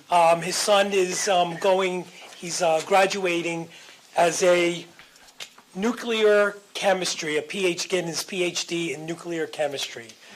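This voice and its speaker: Noticeable background noise sits behind a woman with a fairly low pitch. She speaks at a fairly slow pace with fairly even intonation. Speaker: auditor. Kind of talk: presentation at board meeting. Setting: public board meeting.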